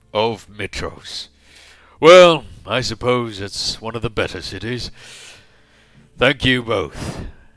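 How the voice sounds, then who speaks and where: Putting on a booming character voice at a medium pitch, a man talks at a fairly slow pace with long, frequent pauses. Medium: actual play. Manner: loud, hearty, self-aggrandizing.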